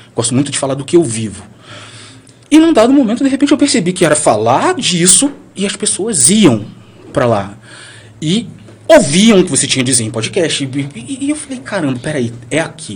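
The voice moves at a moderate pace with very wide pitch swings and long, frequent pauses. Noticeable background noise is present. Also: man, fairly high pitch for a man. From Brazil, Bahia (Valença). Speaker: blogger. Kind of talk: casual chat. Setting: studio.

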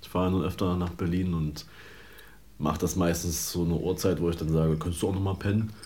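A man with a very deep, low pitch talks at a very fast pace in a dark, mellow, somewhat breathy tone, with fairly even intonation, very even loudness and audible room echo. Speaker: podcast co-host. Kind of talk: casual chat.

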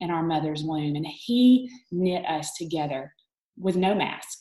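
A woman's fairly low voice with a dark, mellow tone, a Southern US accent and a moderate pace. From Alabama, US South. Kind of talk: online group talk, faith testimony.

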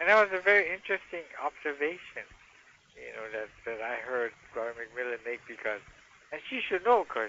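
A man's medium-pitched voice at a fairly quick pace, with very wide pitch swings and big swings in loudness. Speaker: caller. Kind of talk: casual chat. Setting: phone call.

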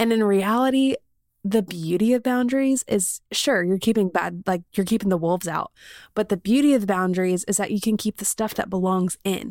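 A woman with an American accent and a normal speaking voice talks at a medium pitch and a fairly quick pace, with ordinary pitch variation, in a very clean recording with a silent background and a dry, close sound with no echo. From South Carolina. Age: 20s. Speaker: podcast host. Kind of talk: casual interview chat; podcast intro monologue.

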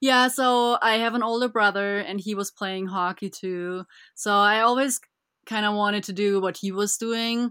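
A woman with a German accent speaks at a moderate pace with a bright, sharp tone and medium pitch. Her intonation is fairly even, her loudness swings widely, and the recording is very clean with a silent background. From Germany, Bavaria (Füssen). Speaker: ice hockey goaltender. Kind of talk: interview.

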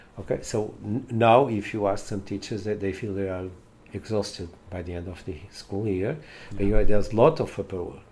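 Speaking fairly quickly in a Portuguese accent, a man has a fairly low pitch, a dark, mellow tone, a somewhat breathy voice, ordinary pitch variation and big swings in loudness. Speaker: education professor. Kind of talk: interview. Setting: on location. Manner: halting.

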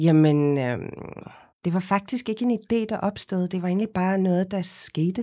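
This woman has a normal speaking voice at medium pitch. Her pitch varies in an ordinary way, and her pace is fairly slow. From South Africa, Cape Town. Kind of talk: interview. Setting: studio.

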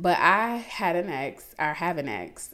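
A woman does the talking. Her speech comes with an American accent. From US South, south side of Atlanta. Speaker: podcast host. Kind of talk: casual monologue. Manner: animated, frequent laughter.

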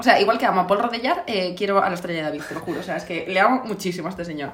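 Lively intonation from a woman, with audible room echo and noticeable background noise. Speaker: podcast co-host. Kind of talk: casual chat.

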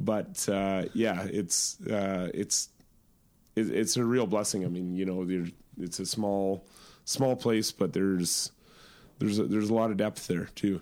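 A man with a Canadian accent, a fairly low pitch and a dark, mellow tone, at a fairly slow pace. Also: fairly even intonation. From Yukon, Canada. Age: 30s. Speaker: remote camp logistics company president. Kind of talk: interview conversation. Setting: hotel suite. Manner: hesitant, many fillers.

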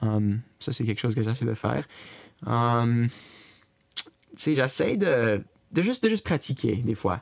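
A man talks at a fairly slow pace with long, frequent pauses. His pitch is medium with ordinary variation. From Brockville, Eastern Ontario, Canada. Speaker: interviewee, family member. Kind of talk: interview.

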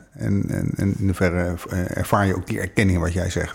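Very deep and low, a man's voice is somewhat breathy. He speaks at a moderate pace. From Netherlands, The Hague. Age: 50s. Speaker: relationship coach. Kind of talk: casual chat. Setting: in person, The Hague area.

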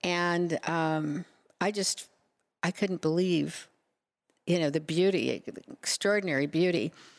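A woman's fairly low voice in an American accent, at a fairly slow pace with long, frequent pauses, fairly even intonation and very even loudness. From Nebraska. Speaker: city council member and former mayor. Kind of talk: interview.

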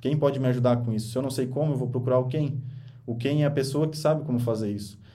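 A man at a medium pitch with a dark, mellow tone, monotone, flat intonation and a very fast pace, in audible room echo. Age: 20s. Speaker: podcast host and author. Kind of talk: motivational monologue on a podcast livestream. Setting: radio studio, streamed live.

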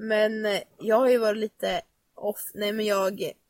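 A woman's very slow speech, dry and close with no echo. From Nora, Sweden. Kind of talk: casual chat. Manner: casual, storytelling.

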